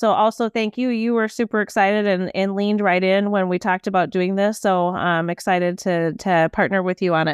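With a Minnesota accent, a woman speaks at a fairly quick pace with hardly any pauses, very even loudness and fairly even intonation, on a very clean recording with a silent background. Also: medium pitch for a woman. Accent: Upper Midwest (Minnesota). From Saint Paul, Minnesota. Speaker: business leader, podcast co-host. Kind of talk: casual chat.

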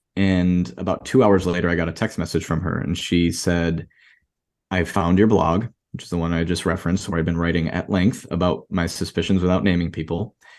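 Against a quiet background, a man with an American accent talks at a moderate pace, his very deep, low voice carrying fairly even intonation. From Rochester, New York. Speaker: blogger and fertility fraud advocate. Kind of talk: casual interview conversation.

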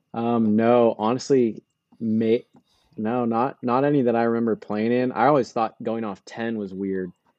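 At a moderate pace, a man with an unremarkable speaking voice talks at a medium pitch, his intonation fairly even. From California. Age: 20s. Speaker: college golfer. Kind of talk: casual chat.

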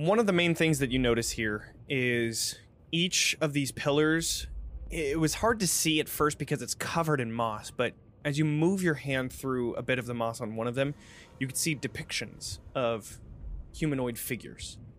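A plain, everyday voice from a man, fairly high in pitch with ordinary pitch variation. He speaks at a moderate pace in a very clean recording with a silent background. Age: 30s. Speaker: game master of a role-playing stream. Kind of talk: tabletop role-play narration. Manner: casual, filler-heavy.

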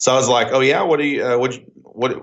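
A man with an Oklahoma accent talks at a very fast pace. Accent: Oklahoma country twang. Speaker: entrepreneur and business consultant. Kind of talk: casual phone chat. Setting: phone call.

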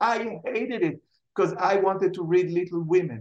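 Speaking at a moderate pace with an Israeli accent, a man uses a high pitch and very wide pitch swings. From Israel, Jerusalem. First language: Hebrew. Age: 60s. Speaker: writer and television personality. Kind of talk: interview.

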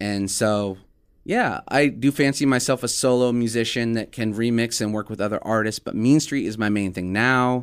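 On a very clean recording against a silent background, the words come at a moderate speed. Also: man, medium pitch for a man. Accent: American. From Omaha, Nebraska. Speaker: music producer. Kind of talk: casual chat. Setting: studio. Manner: animated.

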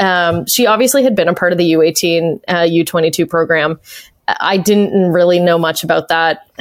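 A woman speaks with a slight Canadian accent. Her pace is fairly slow. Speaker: arena announcer and play-by-play broadcaster. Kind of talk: casual interview chat. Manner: animated, laughs often.

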